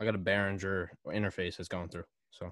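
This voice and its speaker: The background stays quiet as the man talks fairly slowly. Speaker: rapper, producer and podcaster. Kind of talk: casual chat. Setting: video call.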